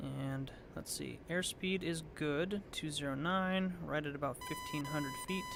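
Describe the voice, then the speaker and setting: A man's fairly high voice with ordinary pitch variation, at a fairly slow pace amid noticeable background noise. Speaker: flight sim streamer. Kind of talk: live gameplay commentary. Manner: casual, relaxed.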